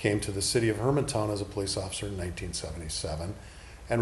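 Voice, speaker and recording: With an American accent, a man speaks at a fairly low pitch with lively intonation and a somewhat breathy sound. Room echo is audible. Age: 60s. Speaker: political candidate, retired police officer. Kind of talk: interview.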